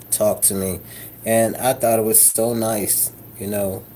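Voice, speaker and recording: Very slowly, a man talks in a dark, mellow tone. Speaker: vlogger. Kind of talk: casual vlog monologue. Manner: animated.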